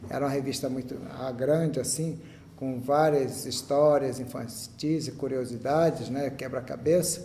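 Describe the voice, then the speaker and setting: Audible room echo surrounds a man's fairly high voice. He speaks at a fairly slow pace. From Brazil, Rio de Janeiro. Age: 60s. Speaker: church member giving testimony. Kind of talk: testimony. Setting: chapel with audience.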